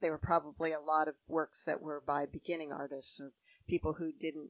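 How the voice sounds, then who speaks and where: A woman speaks in a Midwestern American accent with a very deep, low pitch. Her intonation is monotone and flat, and her pace is moderate. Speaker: podcast host. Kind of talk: interview.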